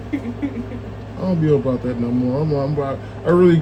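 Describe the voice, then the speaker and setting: In a room with audible echo and noticeable background noise, a man speaks at a moderate pace with ordinary pitch variation. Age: 40s. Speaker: street interviewer. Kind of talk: street interview. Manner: animated.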